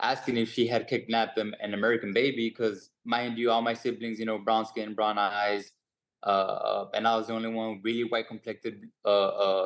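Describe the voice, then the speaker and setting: A man speaks at medium pitch and a moderate pace with a slight Mexican accent. His intonation is monotone and flat against a quiet background. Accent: Mexican Spanish-tinged English, slight. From Mexico. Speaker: boxer. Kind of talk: press conference answer. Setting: video call. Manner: halting, many fillers.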